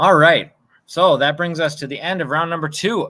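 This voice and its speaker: A man's fairly high voice with a bright, sharp tone, in a very clean recording with a silent background. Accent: Minnesotan. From US Midwest, Minnesota (Osseo, near Minneapolis). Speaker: trivia quiz host. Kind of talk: live-stream trivia quiz. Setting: outdoors on home patio, live stream.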